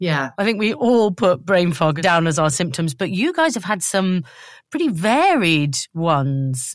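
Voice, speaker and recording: Fairly slow and fairly low-pitched, a woman with a British accent speaks with lively intonation. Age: 40s. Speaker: podcast host. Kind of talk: casual chat. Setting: video call.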